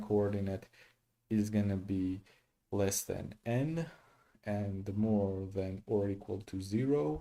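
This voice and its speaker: A dark, mellow tone with fairly even intonation. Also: man. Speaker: programmer live-streaming coding practice. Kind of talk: think-aloud coding livestream. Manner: slow, halting with many fillers.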